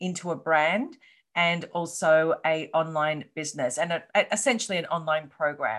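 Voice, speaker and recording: A woman speaks with an Australian accent. Her intonation is fairly even. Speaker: coach and entrepreneur. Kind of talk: interview. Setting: video call.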